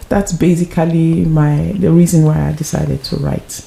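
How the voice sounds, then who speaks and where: Noticeable background noise behind a fairly low female voice. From Nigeria. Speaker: author and actress. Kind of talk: interview. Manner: hesitant, many fillers.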